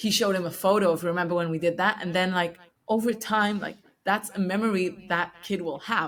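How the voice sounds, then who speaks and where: Speaking with a non-native accent, a woman uses a medium pitch, fairly even intonation and a moderate pace. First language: not English. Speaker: podcast host interviewing founders. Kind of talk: casual interview chat. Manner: hesitant, many fillers.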